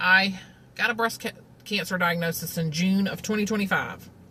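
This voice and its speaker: Spoken in a Southern US accent, the voice shows ordinary pitch variation. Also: woman. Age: 40s. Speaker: vlogger, cancer patient. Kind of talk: casual monologue. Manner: conversational, many fillers.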